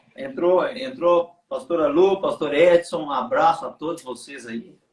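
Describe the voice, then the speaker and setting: A man with a strong Minas Gerais accent talks at a fairly slow pace and high pitch, his pitch swinging very widely. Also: big swings in loudness. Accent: strong Minas Gerais (mineiro). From Brazil, Minas Gerais (Belo Horizonte). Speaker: pastor, livestream host. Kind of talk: casual livestream chat. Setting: online livestream.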